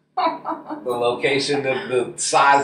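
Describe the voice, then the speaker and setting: A man talks with ordinary pitch variation. Noticeable background noise and audible room echo surround him. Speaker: musician and MC. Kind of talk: casual interview chat. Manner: loud, projecting.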